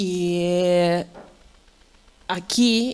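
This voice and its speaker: A woman's fairly low-pitched voice. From Ukraine, Odessa. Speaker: Ukrainian community member. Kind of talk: public talk at exhibition. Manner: halting.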